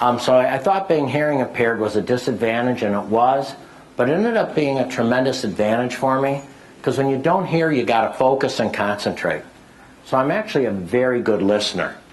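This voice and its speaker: A man speaks at medium pitch with lively intonation and very even loudness. Audible room echo surrounds his voice. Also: fairly quick pace. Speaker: business speaker. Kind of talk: lecture. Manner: keeps going without stopping.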